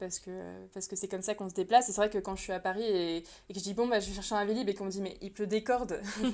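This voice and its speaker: A woman is the one talking. Everything is very clean, and the background is silent. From France. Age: 30s. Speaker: illustrator and translator. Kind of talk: podcast interview. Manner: hesitant, many fillers.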